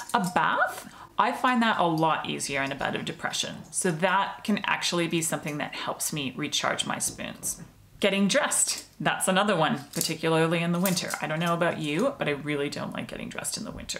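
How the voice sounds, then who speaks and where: Audible room echo surrounds a woman speaking at a fairly quick pace. Her intonation is lively. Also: fairly low pitch for a woman. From Australia. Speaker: mental health vlogger. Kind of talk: personal explainer video. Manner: casual, conversational.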